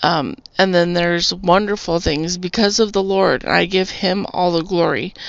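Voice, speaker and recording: A woman with an American accent has an unremarkable speaking voice and a medium pitch. She talks at a moderate pace with fairly even intonation and very even loudness. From Arizona, US (Tucson). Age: 40s. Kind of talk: testimony. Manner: casual, rambling with fillers.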